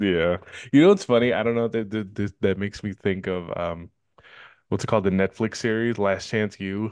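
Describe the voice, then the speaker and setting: A man speaks at a moderate pace with a Northern California accent, his intonation fairly even against a quiet background. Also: fairly low pitch for a man. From Richmond, California. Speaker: podcast host. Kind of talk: casual chat.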